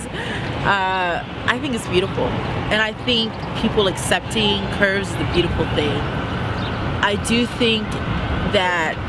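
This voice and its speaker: Amid noticeable background noise, a woman speaks at a very slow pace and a medium pitch, with ordinary pitch variation. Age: young. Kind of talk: interview answer.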